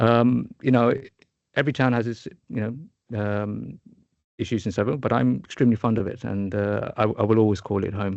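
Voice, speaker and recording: A man's fairly low voice at a fairly quick pace, with ordinary pitch variation and long, frequent pauses. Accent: southern English. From England, Luton. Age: 40s. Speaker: startup founder and product manager. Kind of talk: podcast interview. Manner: halting, many fillers and repeats.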